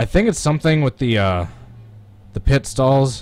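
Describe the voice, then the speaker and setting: A man with a Midwestern American accent speaks at a fairly quick pace and medium pitch, his dark, mellow tone carried by lively intonation. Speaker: sim racing gamer streamer. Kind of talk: live gameplay commentary. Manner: casual, animated.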